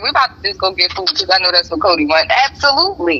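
Amid noticeable background noise, a woman talks at a very fast pace with very wide pitch swings. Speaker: podcast co-host. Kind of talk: casual chat. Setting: on a phone call from work.

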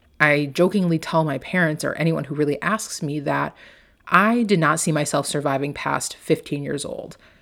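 The recording is very clean with a silent background. A woman speaks at a moderate pace with very deep, low pitch and ordinary pitch variation. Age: 20s. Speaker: life coach and podcast host. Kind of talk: personal story monologue. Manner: casual with filler words.

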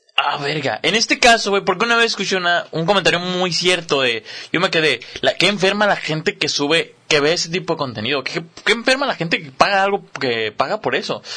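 A man with a Mexican accent, high-pitched, with lively intonation and a fairly quick pace. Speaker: podcast co-host. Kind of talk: casual chat.

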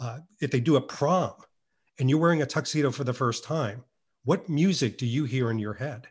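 The voice is somewhat breathy and moves at a fairly quick pace, broken by long, frequent pauses. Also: man, fairly high pitch for a man, ordinary pitch variation. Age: 50s. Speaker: YouTube creator on Bond style. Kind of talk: casual interview. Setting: remote podcast recording. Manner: animated; articulate.

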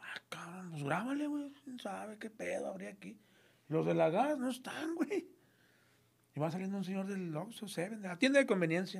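In a northern Mexican accent, the speaker moves at a moderate pace with very wide pitch swings. Loudness also rises and falls sharply. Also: man, high pitch for a man. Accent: northern Mexican (norteño) Spanish. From Monterrey, Mexico. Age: 50s. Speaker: crime reporter. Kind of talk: casual chat. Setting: studio.

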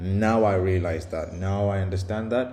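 With a dark, mellow tone and a somewhat breathy quality, a man speaks at a fairly low pitch and moderate pace, his intonation fairly even, in a room with audible echo. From India and the UK. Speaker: podcaster, software developer. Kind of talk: solo monologue. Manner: halting, many fillers and repetitions; casual.

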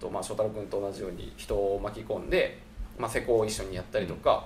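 A man talks at a fairly quick pace, and his voice carries audible room echo. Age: 30s. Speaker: architect. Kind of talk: casual chat. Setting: rented guesthouse.

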